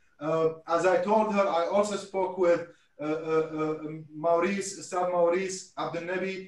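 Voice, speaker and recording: A man's high-pitched voice at a fairly slow pace, monotone and flat in intonation, with audible room echo. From Iraq (Mosul); Iraq. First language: Arabic. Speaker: historian and event host; event host. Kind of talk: online panel discussion. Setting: video call. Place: home room. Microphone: video call.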